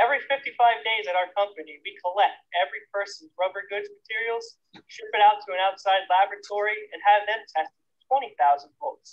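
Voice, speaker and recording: Against a quiet background, a high-pitched man talks at a fairly quick pace. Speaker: presenter. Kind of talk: safety demonstration presentation. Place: open country.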